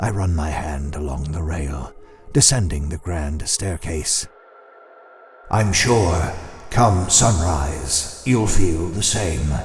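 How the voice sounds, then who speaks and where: A man's put-on character voice, very deep and low, at a very slow pace. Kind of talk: second-person horror story narration. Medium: audio drama. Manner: slow, menacing.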